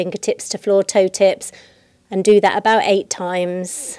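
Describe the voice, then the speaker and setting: A dark, mellow tone carries the words along at a moderate pace. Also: woman. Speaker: yoga teacher. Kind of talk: guided yoga class. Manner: calm, soothing. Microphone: close to mic, sounds loud.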